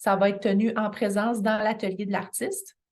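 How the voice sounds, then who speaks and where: A woman in a Quebec accent, fairly high in pitch, at a moderate pace with monotone, flat intonation. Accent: Québécois French. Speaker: continuing education coordinator. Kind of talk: information session presentation. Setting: midday meeting with audience. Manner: halting, many fillers.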